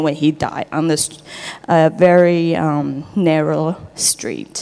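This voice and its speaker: The voice has a dark, mellow tone and a Taiwanese accent. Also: woman. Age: 30s. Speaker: church member sharing testimony. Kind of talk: testimony. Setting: church.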